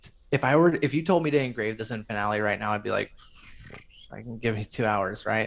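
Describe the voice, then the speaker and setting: Using a normal speaking voice, a man talks at a fairly quick pace with lively intonation. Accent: American. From rural northern Michigan. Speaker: composer and music editor. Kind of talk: casual interview chat.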